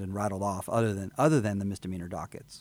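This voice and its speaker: A man speaks very fast in a Texan accent, his pitch fairly low. The recording is very clean, with a silent background. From Texas, Houston area (Fort Bend County). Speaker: attorney and judicial candidate. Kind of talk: interview. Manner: halting.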